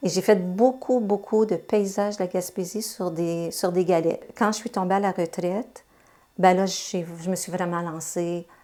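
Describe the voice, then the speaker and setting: A woman speaks at a fairly slow pace, pitched in the medium range, with an unremarkable speaking voice. The recording is very clean, with a silent background. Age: 60s. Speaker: retired translator and amateur painter. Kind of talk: interview testimony.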